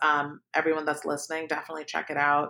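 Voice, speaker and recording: A woman with a Californian accent speaks in a very deep, low voice. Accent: Californian American. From Palo Alto, California, moved from Pakistan at seven. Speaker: podcast host, startup founder. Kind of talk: interview.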